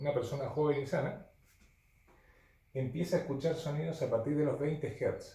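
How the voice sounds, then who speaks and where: A man speaks at a fairly high pitch with vocal fry. Audible room echo surrounds his voice. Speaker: physics teacher. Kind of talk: lecture. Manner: halting.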